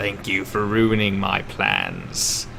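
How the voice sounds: Over clear background noise, a man performs a put-on character voice with a fairly low pitch.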